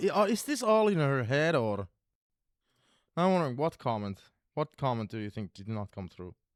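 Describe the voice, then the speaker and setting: A man with a non-native accent speaks in an animated tone at medium pitch and a moderate pace, with very wide pitch swings, big swings in loudness, and long, frequent pauses. The sound is dry and close with no echo, on a very clean recording with a silent background. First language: not English. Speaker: gaming streamer. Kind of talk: live gameplay commentary.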